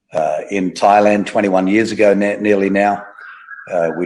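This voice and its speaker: A man with an Australian accent speaks at a moderate pace and a fairly low pitch. The sound is dry and close, with no echo. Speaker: pastor. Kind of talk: interview, testimony.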